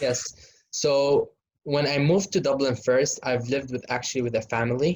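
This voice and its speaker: Speaking at a moderate pace, a man with a fairly high pitch sounds somewhat breathy and keeps his intonation fairly even. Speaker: medical student. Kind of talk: casual Q&A.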